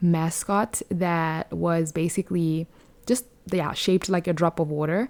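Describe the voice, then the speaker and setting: A woman's fairly low, dark, mellow voice with fairly even intonation and a Botswana accent. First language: Setswana. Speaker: podcast host. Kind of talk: casual podcast monologue. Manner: hesitant, many fillers.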